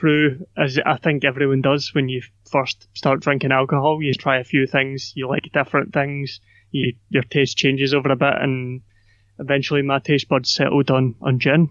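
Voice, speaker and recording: This man has a Scottish accent and a fairly high pitch. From Scotland, Glasgow. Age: 20s. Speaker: podcaster and YouTuber. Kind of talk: casual interview conversation.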